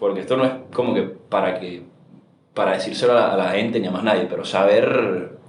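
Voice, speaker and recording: With audible room echo and noticeable background noise around him, a man speaks at a fairly quick pace. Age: 20s. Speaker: startup founder. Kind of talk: interview conversation.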